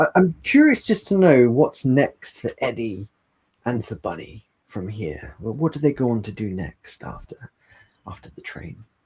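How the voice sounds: A man speaks at a fairly slow pace in a medium pitch, his slightly mellow voice carrying a husky, rough edge and big pitch swings.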